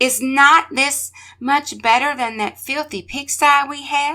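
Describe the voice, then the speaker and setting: The voice sounds female and is a put-on character voice pitched high for a woman. It moves at a fairly slow pace. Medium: read story. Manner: demanding.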